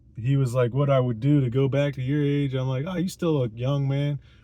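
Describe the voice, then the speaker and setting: A man talks at a moderate pace with a fairly high pitch. His voice is somewhat breathy, with a dark, mellow tone. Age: 30s. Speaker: vlogger. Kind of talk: casual monologue. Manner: rambling, hesitant with fillers.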